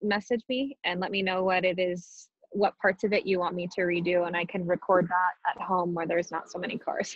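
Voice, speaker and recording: A woman at medium pitch, speaking at a moderate pace. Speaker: meditation teacher. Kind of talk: guided meditation talk. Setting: video call. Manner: calm. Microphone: choppy connection.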